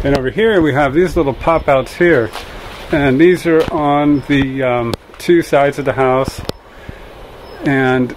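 A man speaks at a fairly slow pace with ordinary pitch variation and long, frequent pauses. Light background noise is present. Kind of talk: casual walkthrough tour. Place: garden. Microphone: phone near.

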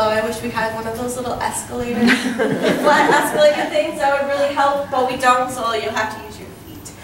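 The speech comes at a fairly quick pace with fairly even intonation, amid noticeable background noise and audible room echo. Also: woman. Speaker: student tour guide. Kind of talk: guided tour talk. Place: street. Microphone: camera far.

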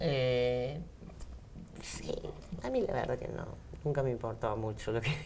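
A woman speaks at a fairly slow pace. She takes long, frequent pauses over light background noise. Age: 40s. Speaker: bodybuilding athlete. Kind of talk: interview. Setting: radio studio. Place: studio. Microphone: lapel.

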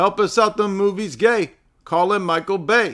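Against a quiet background, a man's bright, sharp, raised and projected voice moves at a fairly slow pace with ordinary pitch variation. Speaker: livestream host. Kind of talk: casual livestream commentary. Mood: joking, mocking humor. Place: home room.

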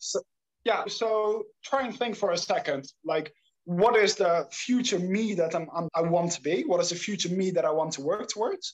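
The speaker has a Dutch accent. The pace is moderate. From Netherlands. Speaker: startup founder, habit coach. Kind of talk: interview. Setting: remote call.

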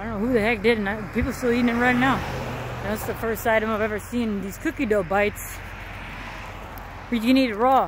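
A woman talks at a fairly quick pace with ordinary pitch variation. The sound is dry with no echo, though background noise is noticeable. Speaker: vlogger. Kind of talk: casual vlog chat. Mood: animated storytelling. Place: street. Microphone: headset.

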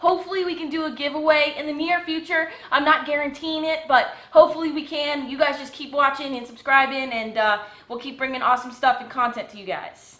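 A woman's raised, projected voice sits high in pitch, with ordinary pitch variation and a fairly quick pace. Her loudness swings widely, and room echo is audible. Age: 20s. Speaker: fishing video creator. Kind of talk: casual chat. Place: home room. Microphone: camera far.

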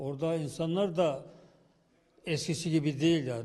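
A dark, mellow, somewhat breathy voice moves at a moderate pace with fairly even intonation. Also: man. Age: 70s. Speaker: village headman. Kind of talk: interview answer.

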